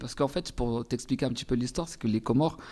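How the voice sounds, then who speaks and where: Words come out at a very fast pace, with ordinary pitch variation. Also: man. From Comoros, Anjouan island. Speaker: singer. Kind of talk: interview. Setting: studio.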